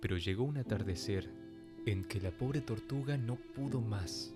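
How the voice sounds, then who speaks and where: Music plays behind a man talking at a fairly slow pace. His pitch swings very widely. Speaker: voice actor. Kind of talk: audiobook narration.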